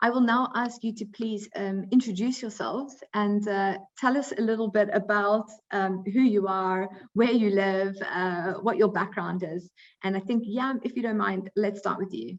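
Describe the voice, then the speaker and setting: Woman with a South African accent, medium pitch, fairly even intonation, moderate pace, quiet background. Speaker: recruiting coordinator, webinar moderator. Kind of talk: webinar moderation.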